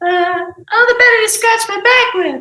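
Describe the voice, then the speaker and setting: A squeaky, put-on character voice at an extremely high pitch moves at a moderate pace with a slight echo. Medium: stage play.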